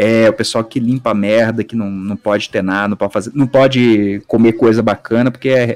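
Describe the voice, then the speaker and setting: A man uses an ordinary speaking voice at a fairly quick pace with fairly even intonation. The sound is dry and close, with no echo. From Brazil, countryside. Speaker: podcast guest, video editor. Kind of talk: casual chat. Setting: live stream.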